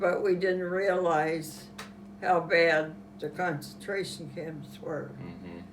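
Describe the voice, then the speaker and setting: Against noticeable background noise, a woman with a Western Pennsylvania accent talks at a very slow pace. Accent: Western Pennsylvania American. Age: 80s+. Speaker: World War Two era witness. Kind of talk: interview answer.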